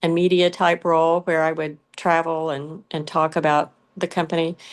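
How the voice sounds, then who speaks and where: A woman with a Southern US accent speaks at a fairly low pitch in monotone, flat intonation against a quiet background. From US South, south Georgia. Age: 60s. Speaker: pet brand founder. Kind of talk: interview.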